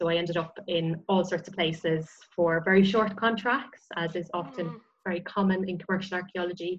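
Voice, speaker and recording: A somewhat breathy woman, fairly quick in pace, with fairly even intonation. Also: fairly low pitch for a woman. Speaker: osteologist and heritage consultant. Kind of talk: casual interview.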